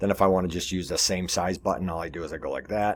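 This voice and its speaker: Speaking at a very fast pace, a man with a very deep, low pitch and vocal fry shows ordinary pitch variation in a very clean recording with a silent background. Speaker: web design tutorial presenter. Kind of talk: screen-share tutorial. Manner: casual with pauses.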